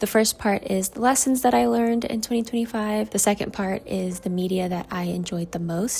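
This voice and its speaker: Speaking at a fairly quick pace, a woman with a medium-pitched voice sounds somewhat breathy. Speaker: lifestyle vlogger. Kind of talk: personal vlog recap. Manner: casual, with false starts.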